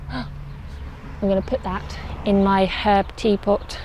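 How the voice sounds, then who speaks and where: A woman with an English accent, recorded dry with no echo. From England. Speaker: allotment gardener vlogger. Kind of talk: casual vlog walkthrough. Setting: outdoors on allotment. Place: garden. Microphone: phone near.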